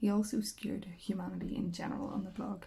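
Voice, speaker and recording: A soft-spoken woman with a Northern Irish accent talks at a fairly quick pace. Her medium-pitched voice has a dark, mellow tone and vocal fry. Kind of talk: audiobook reading, relaxing.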